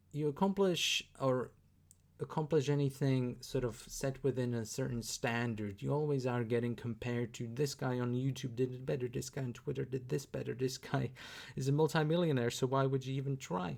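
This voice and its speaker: With a Slovak accent, a man talks at a moderate pace in a medium pitch with ordinary pitch variation. The recording is very clean against a silent background. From Slovakia. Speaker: YouTuber reacting to videos. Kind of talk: reaction commentary. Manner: halting, many fillers.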